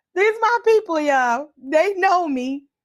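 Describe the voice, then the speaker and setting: A loud woman speaks with an American accent and very wide pitch swings. The recording is very clean, with a silent background. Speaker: livestream host and community organizer. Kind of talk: impassioned community livestream address. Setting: live video stream with comments. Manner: deliberately calm and measured, holding back loudness; normally loud when excited.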